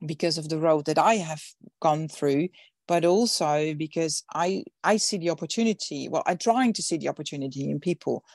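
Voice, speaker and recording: In a Dutch accent, a woman with a very deep, low voice and ordinary pitch variation speaks at a moderate pace, recorded dry and close with no echo in a very clean recording with a silent background. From Netherlands. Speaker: events industry founder and speaker. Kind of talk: interview. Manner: halting, many fillers and repetitions.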